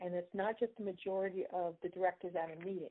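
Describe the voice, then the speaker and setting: A woman's voice at a medium pitch. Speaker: bylaws presenter at member Q&A. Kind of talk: explanatory presentation. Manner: fast.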